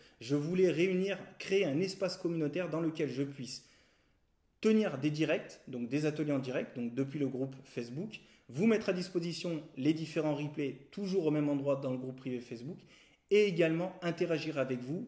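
A man with a dark, mellow tone and a fairly high pitch speaks at a moderate pace with ordinary pitch variation. The room has audible echo, but the background is quiet. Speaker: photography teacher. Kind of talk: tutorial. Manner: hesitant, with frequent fillers and repeated words. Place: home room.

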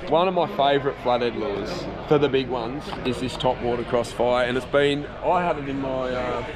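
Background noise is clearly heard behind a man speaking at a moderate pace. His pitch is medium, with ordinary variation.

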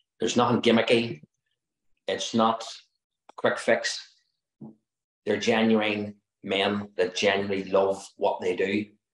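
Over a quiet background with audible room echo, the speaker talks in a monotone, flat intonation at a fairly slow pace, with long, frequent pauses. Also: man. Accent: Northern Irish. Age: 50s. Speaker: interior designer, retreat participant. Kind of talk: testimonial. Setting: video call. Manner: earnest, pleading. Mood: earnest, heartfelt. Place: home room. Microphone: video call.

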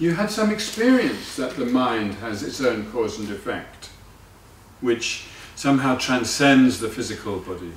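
A man's voice at a moderate pace, with very wide pitch swings, audible room echo, and light background noise. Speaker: Buddhist teacher. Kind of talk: lecture.

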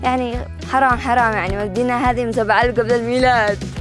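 Speaking at a very fast pace with a Yemeni accent, a woman is heard in a dry recording with no echo and clear music in the background. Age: young. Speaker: travel show host. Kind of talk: travel show presenting to camera. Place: open country. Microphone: lapel.

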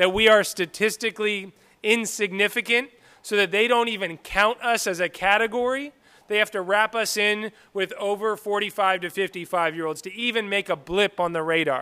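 A man speaks in a raised, projecting voice, his tone bright and sharp and his pitch high. The sound is dry and close with no echo, and his pitch varies in an ordinary way. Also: moderate pace. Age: 30s. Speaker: state senator. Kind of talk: public hearing moderation. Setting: high school auditorium with audience.

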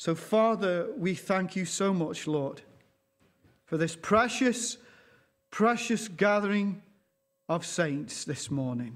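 A man at a very slow pace, with long, frequent pauses. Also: lively intonation. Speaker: pastor. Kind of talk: sermon. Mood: earnest, slow, reverent. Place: church. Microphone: lapel.

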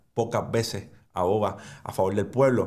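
In a quiet background, a man speaks with a Puerto Rican accent. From Puerto Rico. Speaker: finance and crypto YouTuber; crypto YouTuber. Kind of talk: educational monologue. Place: studio.

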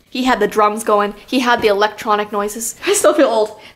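Speaking at a fairly quick pace, a woman with a Canadian accent has a fairly high pitch. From Ontario, Canada. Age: 20s. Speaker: vlogger. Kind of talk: casual chat. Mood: amused complaining, self-mocking. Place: home room. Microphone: phone near.

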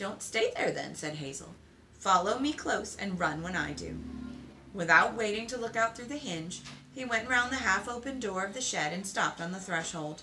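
Music plays in the background while a woman speaks at a moderate pace. Her loudness swings widely. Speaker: book reader. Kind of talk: reading a novel aloud. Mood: calm storytelling. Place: home room. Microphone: phone near.

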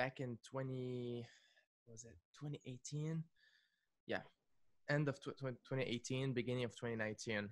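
Against a quiet background, a man speaks very slowly with fairly even intonation and long, frequent pauses. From Lebanon. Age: 20s. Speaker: music producer and YouTuber. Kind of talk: casual chat. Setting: video call. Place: studio. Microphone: studio mic.

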